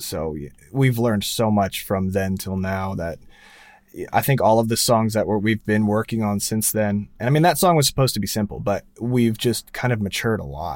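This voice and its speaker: In a normal speaking voice, a man with fairly low pitch talks at a moderate pace with lively intonation, on a very clean recording with a silent background. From New Jersey, US. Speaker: music producer and sound engineer. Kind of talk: casual interview.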